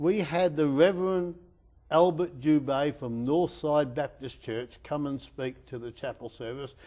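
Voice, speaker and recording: Dark and mellow in tone, a man with an Australian accent speaks at a fairly slow pace and a fairly high pitch, with ordinary pitch variation and big swings in loudness. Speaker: sports chaplain. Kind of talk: interview. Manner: halting.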